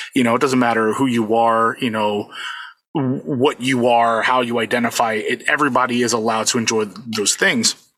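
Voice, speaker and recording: This man has an unremarkable speaking voice at medium pitch, with fairly even intonation, a moderate pace and very even loudness. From US, Puerto Rican family. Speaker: convention DJ and music producer. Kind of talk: casual interview.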